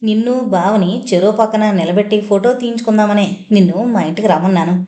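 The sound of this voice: Here we hear an unforced reading voice.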